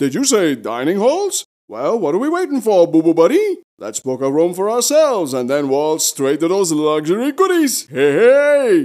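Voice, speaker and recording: A man's put-on character voice, high-pitched with very wide pitch swings, at a moderate pace. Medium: comedy sketch. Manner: jaunty, wisecracking, chuckling.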